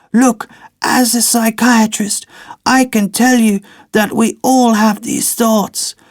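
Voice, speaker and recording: In a put-on character voice pitched extremely high, a man talks fairly slowly with monotone, flat intonation. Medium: read story. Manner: calm, measured, lecturing.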